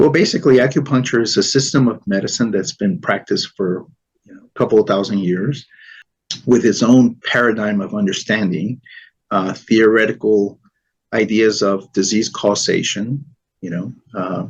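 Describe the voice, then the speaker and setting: This man has a Spanish accent and a fairly low pitch, speaking at a moderate pace with ordinary pitch variation. His loudness swings widely. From New York City, Spanish-speaking home. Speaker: Chinese medicine expert. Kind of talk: interview.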